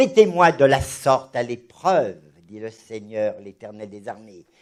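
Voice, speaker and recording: A man speaks with very wide pitch swings. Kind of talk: religious discussion. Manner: animated, halting with repetitions.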